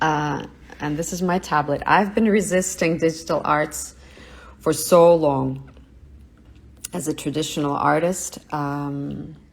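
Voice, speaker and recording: Long, frequent pauses and fairly even intonation. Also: woman, very deep, low pitch for a woman. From Russia. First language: Russian. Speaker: artist. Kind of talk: live studio tour. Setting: livestream from home studio.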